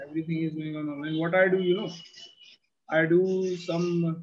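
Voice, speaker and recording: Speaking at a moderate pace, a man delivers his words in a monotone, flat intonation. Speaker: teacher. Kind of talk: online class chat with students. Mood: friendly, relaxed. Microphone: webcam.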